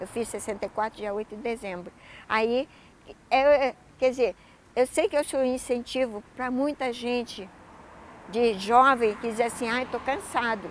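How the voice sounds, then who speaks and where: A woman speaks at a high pitch. Her speech has long, frequent pauses. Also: ordinary pitch variation, fairly slow pace. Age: 60s. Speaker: adult education graduate, university student. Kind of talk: interview testimony.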